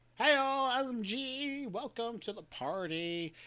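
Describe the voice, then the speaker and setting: An extremely high-pitched put-on character voice from a man. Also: fairly slow pace. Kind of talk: welcoming greeting. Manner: silly, playful.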